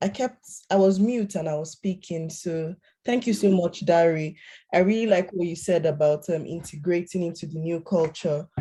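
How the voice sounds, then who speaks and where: A woman's dark, mellow voice, fairly low-pitched and somewhat breathy. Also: ordinary pitch variation, moderate pace. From Nigeria. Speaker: panel facilitator. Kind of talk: panel talk.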